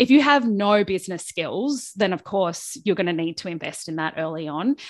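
A woman with an Australian accent speaks at a fairly quick pace and medium pitch, with ordinary pitch variation over a quiet background. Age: 40s. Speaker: small business coach. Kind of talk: interview conversation.

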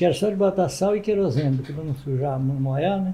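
Somewhat breathy, fairly high male voice with ordinary pitch variation at a moderate pace. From Ibatiba, Espírito Santo, Brazil. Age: 80s+. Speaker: former mayor and muleteer. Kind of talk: interview, storytelling.

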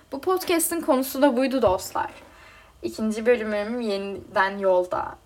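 Noticeable background noise sits behind a woman with a high pitch who talks at a fairly slow pace with very wide pitch swings. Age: 20s. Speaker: podcast host. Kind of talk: personal monologue.

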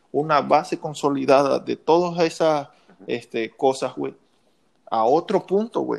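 Against a quiet background, a man with a plain, everyday voice speaks at a fairly slow pace in a fairly high pitch. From Mexico, Lerdo, Durango. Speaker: podcast guest, childhood friend. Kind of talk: casual chat.

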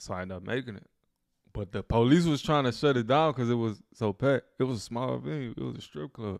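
A man with an American accent speaks very fast at a medium pitch, with lively intonation and big swings in loudness. The sound is dry and close with no echo, on a very clean recording with a silent background. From Louisiana. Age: 20s. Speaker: rapper. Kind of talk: casual chat.

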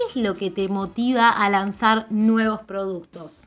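A woman speaks in a fairly high pitch with an Argentine accent. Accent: Rioplatense Argentine Spanish. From Argentina. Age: 30s. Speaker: personal branding mentor and podcast host. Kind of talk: solo podcast monologue.

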